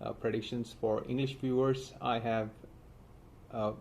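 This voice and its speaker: A man talks at a fairly slow pace in a monotone, flat delivery. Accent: Indian. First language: Hindi. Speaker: astrologer. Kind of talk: astrology forecast monologue. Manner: halting, many fillers.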